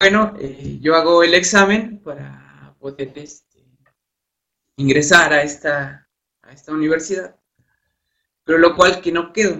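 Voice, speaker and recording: This man talks at a fairly slow pace in a fairly high pitch, with ordinary pitch variation, long and frequent pauses, and big swings in loudness. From Mexico, Hidalgo. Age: 20s. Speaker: university student. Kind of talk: interview. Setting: online live broadcast.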